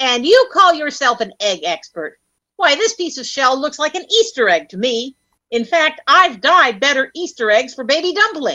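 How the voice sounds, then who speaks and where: At a moderate pace, a woman speaks in a high pitch with big shifts in loudness. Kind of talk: 1930s radio comedy. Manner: brisk, skeptical, confident.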